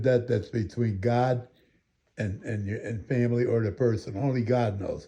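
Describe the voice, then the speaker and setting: A man with an American accent speaks at a medium pitch and a moderate pace. His voice is dark, mellow and somewhat breathy. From Waterbury, Connecticut. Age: 80s+. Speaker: show host. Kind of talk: interview chat. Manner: halting.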